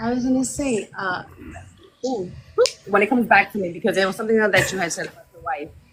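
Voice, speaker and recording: A woman's medium pitch at a very fast pace, with ordinary pitch variation, big swings in loudness, long, frequent pauses and music in the background. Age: 30s. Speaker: guest. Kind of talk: casual chat.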